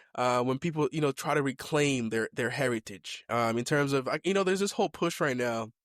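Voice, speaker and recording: A fairly high-pitched man with an American accent speaks at very even loudness with ordinary pitch variation and hardly any pauses. The recording is very clean with a silent background, and the sound is dry and close with no echo. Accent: American accent, deliberately acquired. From Kenya (born Mombasa, family from Limuru). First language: Kikuyu (also speaks Swahili). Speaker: podcast host. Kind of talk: casual chat. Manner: casual, with many fillers and restarts.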